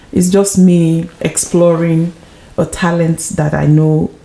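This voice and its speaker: Over noticeable background noise, a woman speaks at a very slow pace with a fairly low pitch. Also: very even loudness. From Nigeria. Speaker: author and actress. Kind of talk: interview. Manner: hesitant, many fillers.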